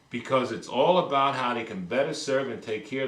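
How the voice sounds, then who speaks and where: There is noticeable background noise as a man with an American accent speaks at a fairly quick pace. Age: 50s. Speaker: politician, former mayor. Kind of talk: interview. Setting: stage. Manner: animated.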